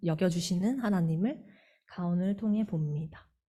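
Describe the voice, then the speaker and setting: A woman with a Gyeongsang accent, somewhat breathy with a dark, mellow tone, medium pitch and ordinary pitch variation, fairly slow, in audible room echo. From Gyeongsang region, Korea. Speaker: church member, teacher. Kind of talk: lay testimony at church service. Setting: church.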